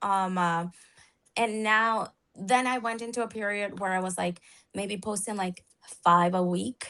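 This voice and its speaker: A woman with a non-native accent speaks at a medium pitch and a fairly slow pace, her intonation fairly even. Long, frequent pauses break up her speech against a quiet background. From outside the English-speaking world (immigrant). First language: not English. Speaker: therapist turned social media coach. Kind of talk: live interview chat. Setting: live video stream. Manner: halting, many fillers.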